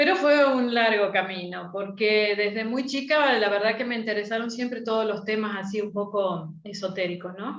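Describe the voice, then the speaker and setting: A woman's voice with audible room echo. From Argentina. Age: 60s. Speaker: astrologer. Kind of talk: interview.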